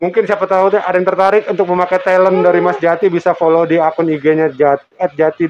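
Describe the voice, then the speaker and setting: Speaking at a very fast pace with hardly any pauses, a man uses a high pitch and fairly even intonation. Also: very even loudness. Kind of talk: casual, chatty.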